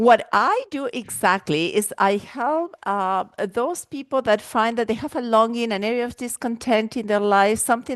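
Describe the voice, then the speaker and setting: A woman with an Argentine accent, fairly high pitch, ordinary pitch variation, and moderate pace. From Argentina. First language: Spanish. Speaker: life and wellness coach. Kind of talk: podcast interview. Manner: animated.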